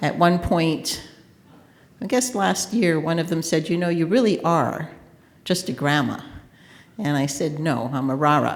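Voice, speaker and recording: Lively intonation carries this fairly slow speech. Long, frequent pauses break it up, and the room's echo is audible. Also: woman, fairly low pitch for a woman. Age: 60s. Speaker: consultant. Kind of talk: conference panel talk. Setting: conference panel with audience.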